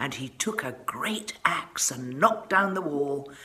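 Speaking slowly in a low voice, a woman uses lively intonation and a bright, sharp tone amid audible room echo.

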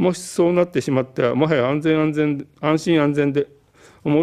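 Over a quiet background, a man with a dark, mellow tone speaks at a fairly high pitch and a fairly quick pace, with ordinary pitch variation. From Japan. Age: 70s. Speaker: political candidate, physician; election candidate. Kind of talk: campaign broadcast speech. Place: studio. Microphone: podium.

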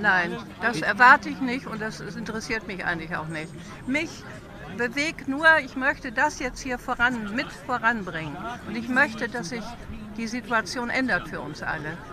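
Against crowd noise in the background, a woman with a fairly high pitch talks at a moderate pace with lively intonation and big swings in loudness, in a dry sound with no echo. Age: 80s+. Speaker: protest participant being interviewed. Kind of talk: interview answer. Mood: earnest, committed. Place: street. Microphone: phone near.

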